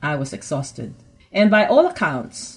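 Somewhat breathy, the voice moves along at a moderate pace. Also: woman. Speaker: pastor and radio host. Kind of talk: religious radio talk.

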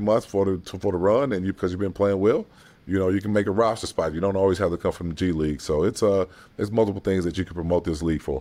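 Speaking very fast, a man with a very deep, low pitch and a dark, mellow tone keeps his intonation fairly even. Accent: American. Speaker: basketball head coach. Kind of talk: interview. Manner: halting.

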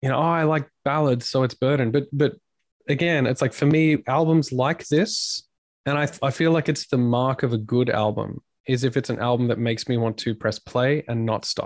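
An Australian accent at a moderate pace, with ordinary pitch variation, very even loudness, a quiet background and a dry, close sound with no echo. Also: man, medium pitch for a man. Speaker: band frontman and podcaster. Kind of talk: casual interview chat. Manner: jokey, talkative.

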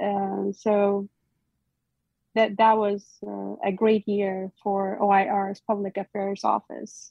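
A woman talks at a very slow pace and a medium pitch. Her intonation is monotone and flat. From Iraq. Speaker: military cultural advisor. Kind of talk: interview. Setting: video call. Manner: halting.

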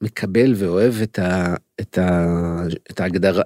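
A man speaks at a very slow pace in a dark, mellow tone with ordinary pitch variation, the sound dry and close with no echo on a very clean recording with a silent background. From Israel, Holon. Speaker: crime novelist and literature lecturer. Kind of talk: interview conversation. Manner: hesitant, many fillers.

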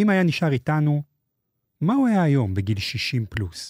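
A man's somewhat breathy voice comes through dry and close with no echo, on a very clean recording with a silent background. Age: 40s. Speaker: podcast host. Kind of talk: scripted narration. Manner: formal.

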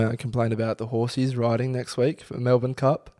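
Very fast speech from a man with an Australian accent, dark and mellow in tone, in a monotone, flat intonation. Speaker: podcast co-host. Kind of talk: casual chat. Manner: laughs a lot.

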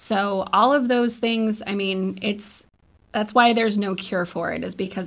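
In a very clean recording with a silent background, a woman with an American accent uses a normal speaking voice. Her pitch is medium, her pace moderate and her pitch variation ordinary. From northeastern Nevada. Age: 30s. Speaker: audiologist. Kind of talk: radio interview.

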